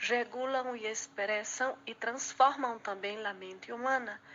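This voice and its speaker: Fairly even intonation marks a woman's fairly slow speech. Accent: Portuguese. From Brazil. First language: Portuguese (speaking Spanish). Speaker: student presenter. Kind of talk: class presentation.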